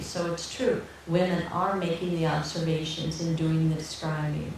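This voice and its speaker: A woman with a fairly low pitch speaks amid audible room echo and noticeable background noise. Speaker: nurse teaching fertility awareness method. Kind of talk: Q&A after a talk. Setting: public talk with audience. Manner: slow.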